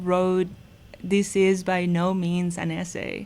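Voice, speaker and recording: This woman speaks at a fairly slow pace with a Mexican accent. Her pitch sits in the medium range. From Mexico, Mazatlan, Sinaloa. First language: Spanish. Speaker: philosophy professor. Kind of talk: casual interview chat.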